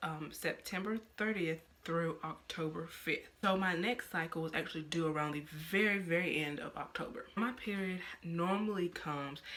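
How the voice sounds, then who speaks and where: She is soft-spoken, with a fairly low pitch. This woman's voice shows ordinary pitch variation. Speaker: vlogger. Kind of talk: casual vlog talk. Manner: halting.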